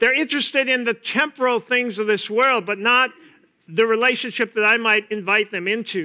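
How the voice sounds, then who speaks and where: An extremely high-pitched man with an American accent, raised and projected, with a bright, sharp tone, ordinary pitch variation and a moderate pace, on a very clean recording with a silent background. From US Upper Midwest, east-central Minnesota. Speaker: pastor. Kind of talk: sermon.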